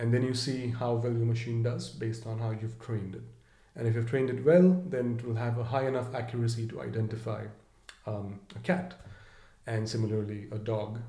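A man with a medium pitch and a dark, mellow tone sounds somewhat breathy and moves at a fairly quick pace. His pitch varies in an ordinary way, and audible room echo surrounds him. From India, Mumbai. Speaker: edtech startup founder. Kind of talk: interview. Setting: in person.

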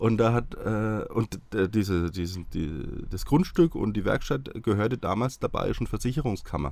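A man talks at a moderate pace and medium pitch with lively intonation. He has a plain, everyday voice. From Franconia, Bavaria (near Hassfurt). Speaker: TV nostalgia expert. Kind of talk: casual interview.

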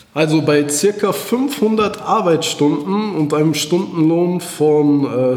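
A man speaks with a fairly high pitch in a room with audible echo. Noticeable background noise sits under his voice. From Germany, Iserlohn (Sauerland, North Rhine-Westphalia). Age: 30s. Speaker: author and entrepreneur. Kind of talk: interview. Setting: office, in person.

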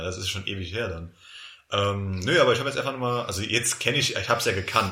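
A man with a bright, sharp tone speaks at a very fast pace in a medium pitch. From Palatinate, Germany. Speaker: podcast host and editor. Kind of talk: casual chat.

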